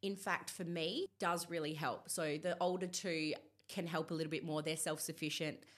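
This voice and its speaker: Speaking in an Australian accent, a woman has a fairly low pitch, an animated tone, very even loudness and a moderate pace. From Perth, Australia. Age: 30s. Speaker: body acceptance influencer. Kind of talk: interview. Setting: studio.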